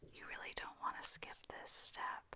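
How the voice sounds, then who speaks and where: A woman whispers at a moderate pace. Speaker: ASMR creator. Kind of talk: ASMR tutorial. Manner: soft-spoken, whispered.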